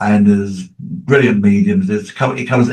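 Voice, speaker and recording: Somewhat breathy and medium in pitch, this man speaks at a moderate pace with very wide pitch swings. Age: 80s+. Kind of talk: casual chat.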